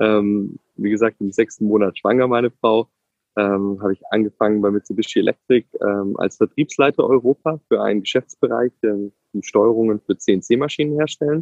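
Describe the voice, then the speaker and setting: A normal speaking voice at a moderate pace. Its pitch varies in an ordinary way. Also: man, fairly low pitch for a man. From Ulm, southern Germany (Swabia). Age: 30s. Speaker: tech executive and father. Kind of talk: interview.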